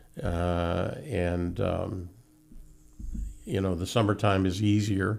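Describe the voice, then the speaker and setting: Speech comes at a very slow pace over music in the background, with audible room echo. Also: man, very deep, low pitch for a man, fairly even intonation. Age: 70s. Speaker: horse carriage tour operator. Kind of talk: casual interview. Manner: halting, many fillers.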